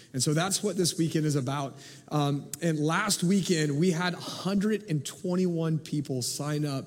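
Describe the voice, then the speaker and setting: Very slow pace, ordinary pitch variation, and noticeable background noise throughout. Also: man, fairly high pitch for a man. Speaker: pastor. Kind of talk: sermon. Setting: church service with congregation.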